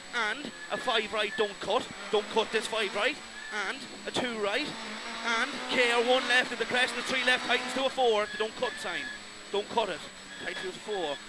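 A man with an Irish accent speaks in an extremely high pitch with fairly even intonation and long, frequent pauses. Loud background noise fills the recording. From Ireland. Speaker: rally co-driver. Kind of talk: rapid-fire rally pacenotes read aloud over engine noise. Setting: inside a rally car during a stage. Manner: clipped, urgent, relentless stream of numbers and calls; repeats warnings insistently, exhorting driver. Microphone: headset.

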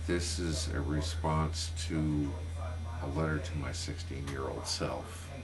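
A man's very deep, low voice, very slow and monotone with flat intonation, over noticeable background noise. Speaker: video blogger. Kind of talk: personal vlog monologue. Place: home room. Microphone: webcam.

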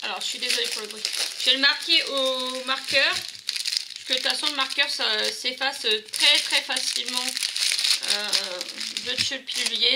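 The speech moves at a moderate pace. Loud background noise runs throughout. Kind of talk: tutorial. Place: home room. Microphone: phone near.

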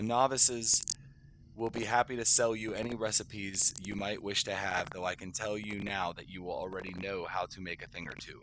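With light background noise and a dry sound with no echo, a man in an unremarkable speaking voice talks at a fairly quick pace, with fairly low pitch and fairly even intonation. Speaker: gamer streamer. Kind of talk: reading game quest text aloud. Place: home room.

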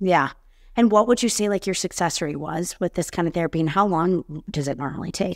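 A woman with an American accent talks at a fairly quick pace in a fairly low voice with ordinary pitch variation, over a quiet background. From Chicago suburbs. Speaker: podcast host. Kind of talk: interview. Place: home room. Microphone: webcam.

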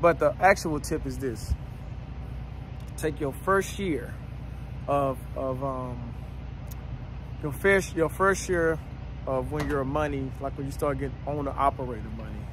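Over noticeable background noise, a man talks at a moderate pace with long, frequent pauses in a dry sound with no echo. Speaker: trucker vlogger. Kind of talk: casual vlog advice. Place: open country. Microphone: phone near.

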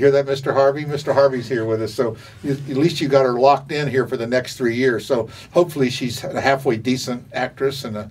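A man at a very fast pace, fairly even in intonation. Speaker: local interviewer. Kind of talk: casual interview questions. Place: hall.

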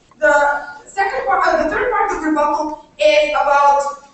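A woman speaks at a moderate pace with a high pitch. Strong room echo surrounds her voice. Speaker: university debater. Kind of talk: competitive debate speech. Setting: stage with audience. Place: hall. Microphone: camera far.

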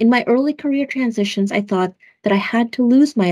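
Against a quiet background, a woman talks very fast in a dark, mellow, somewhat breathy voice with lively intonation. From Philippines, raised in US Midwest. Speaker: government official, Air Force veteran. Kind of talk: scripted video remarks. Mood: earnest, heartfelt. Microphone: webcam.

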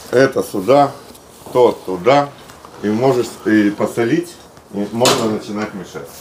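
Over light background noise, a man talks at a very slow pace with long, frequent pauses, big swings in loudness and ordinary pitch variation. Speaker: cook showing the recipe. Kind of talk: cooking tutorial. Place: garden.

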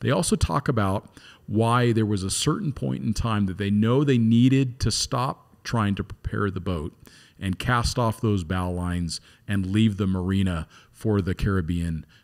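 This man talks at a moderate pace with a fairly low pitch and lively intonation. The background is quiet. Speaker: podcast host. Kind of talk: podcast introduction. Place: studio. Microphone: studio mic.

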